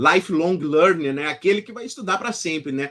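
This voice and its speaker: With a southern Brazilian accent, a man speaks at a fairly quick pace in a bright, sharp tone. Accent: gaúcho Brazilian Portuguese. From southern Brazil, Rio Grande do Sul. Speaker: law professor and author. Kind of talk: interview. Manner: halting, many fillers and restarts.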